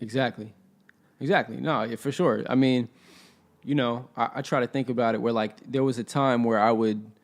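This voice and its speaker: Using a normal speaking voice, a man with an American accent talks at a moderate pace, his medium pitch held in fairly even intonation. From Inland Empire, California. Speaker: rapper. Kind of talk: interview answer. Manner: casual.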